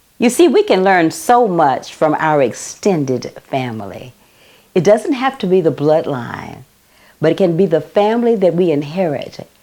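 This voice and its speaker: A woman with an American accent, medium pitch, a dark, mellow and warm tone, very wide pitch swings, and a fairly slow pace. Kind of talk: inspirational talk to camera. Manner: warm, personable, storytelling.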